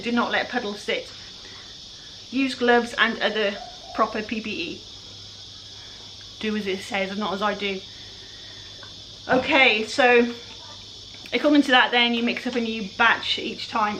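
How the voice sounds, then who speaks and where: Over noticeable background noise, a woman with a fairly high pitch speaks at a fairly slow pace, leaving long, frequent pauses. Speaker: furniture flipper. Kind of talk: tutorial. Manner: casual, chatty.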